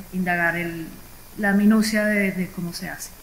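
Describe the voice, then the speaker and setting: A woman's fairly even intonation and moderate pace come through noticeable background noise. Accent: Colombian. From Colombia, Bogotá. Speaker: entrepreneur, forestry engineer. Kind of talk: panel discussion.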